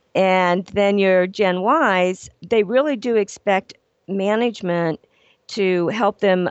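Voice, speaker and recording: A woman with an American accent has a plain, everyday voice. Her medium pitch shows ordinary pitch variation. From Ohio. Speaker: business etiquette consultant and trainer. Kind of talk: radio interview.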